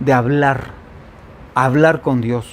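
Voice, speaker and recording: Pitched at a medium level, a man speaks at a very slow pace. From Mexico, Veracruz coast. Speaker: pastor. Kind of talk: sermon. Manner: animated, conversational.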